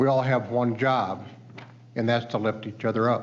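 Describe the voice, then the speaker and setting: A man with a Midwestern US accent, at a fairly quick pace. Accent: US Midwest. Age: 60s. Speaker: witness at a hearing, recovery advocate. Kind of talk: testimony.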